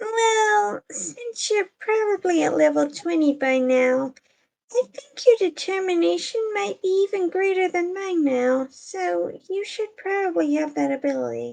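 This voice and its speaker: A woman puts on a squeaky character voice at an extremely high pitch. She goes fairly slowly, and her pitch swings very widely. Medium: read story. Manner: wry, teasing.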